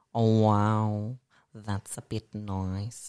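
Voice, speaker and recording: A man with an Australian accent and a fairly low pitch, in a very clean recording with a silent background and a dry, close sound with no echo. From Melbourne, Australia. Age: 20s. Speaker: artist and drag performer. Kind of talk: casual chat.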